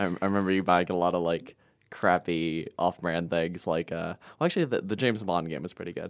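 A man's very deep, low voice at a fairly quick pace with fairly even intonation, on a very clean recording with a silent background. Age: 20s. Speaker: university student. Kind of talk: casual chat. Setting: studio. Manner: halting.

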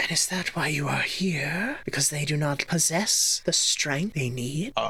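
A put-on character voice at a middle pitch and moderate pace. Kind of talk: fantasy creature roleplay. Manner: calm, probing, questioning.

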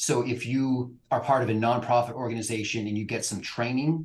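A man's medium-pitched, somewhat breathy voice with a West Coast accent, fairly even intonation and a fairly quick pace. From California. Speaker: immigration lawyer. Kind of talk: interview.

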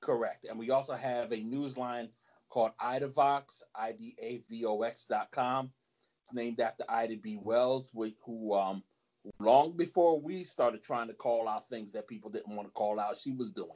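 Featuring big swings in loudness, a man with an American accent talks at a moderate pace in an unremarkable speaking voice, with a medium pitch and ordinary pitch variation. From New Jersey. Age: 50s. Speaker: anti-fascist activist. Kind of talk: interview.

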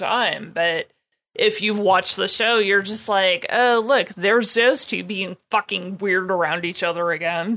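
A woman with an American accent speaks in a bright, sharp tone. Her pace is moderate and her intonation fairly even. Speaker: podcast co-host. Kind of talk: casual chat.

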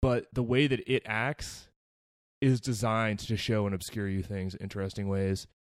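In a very clean recording with a silent background, a plain, everyday voice speaks at a moderate pace with fairly even intonation. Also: man, fairly low pitch for a man. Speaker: podcast host. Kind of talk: casual banter.

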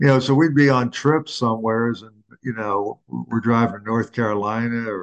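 A man with an American accent, medium pitch, fairly even intonation, and a moderate pace, over a quiet background. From Philadelphia. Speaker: retired sportswriter. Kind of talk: interview. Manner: halting.

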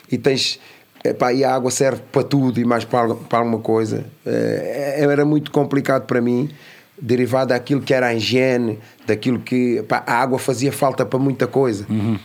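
A man's medium-pitched, monotone delivery at a moderate pace, with very even loudness. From Lisbon area, Portugal (Amadora), born in São Tomé. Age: adult. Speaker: youth educator, founder of a youth academy. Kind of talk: casual interview.

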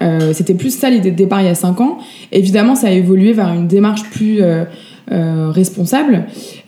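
Noticeable background noise sits behind a woman of medium pitch who speaks at a moderate pace with very even loudness and ordinary pitch variation. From France. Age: 30s. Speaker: vintage shop founder. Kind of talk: interview. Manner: hesitant, many fillers.

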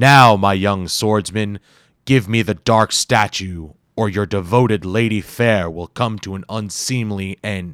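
Bellowing and rumbling, a man in a put-on character voice speaks at a fairly slow pace with a fairly low pitch and fairly even intonation, the sound dry and close with no echo on a very clean recording with a silent background. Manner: mocking, bellowing, menacing.

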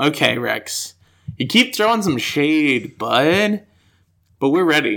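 A man with an American accent speaks at a very slow pace, leaving long, frequent pauses. His fairly high voice swings very widely in pitch, with a bright, sharp tone and vocal fry. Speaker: podcast co-host. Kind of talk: casual chat. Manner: animated, expressive intonation.

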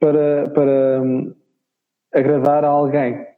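Pitched fairly high, a man speaks. His pace is very slow. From northern Portugal, Chaves. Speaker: singer-songwriter. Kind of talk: interview. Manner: hesitant, repetitive. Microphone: robotic, choppy connection.

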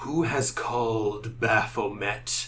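A man puts on a rumbling character voice at a medium pitch, with clear background noise behind him. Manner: intense.

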